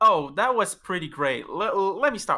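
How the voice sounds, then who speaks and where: A man's raised, projected voice with a bright, sharp tone, a strong French accent and a fairly slow pace. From France. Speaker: esports player. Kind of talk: post-match interview. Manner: animated.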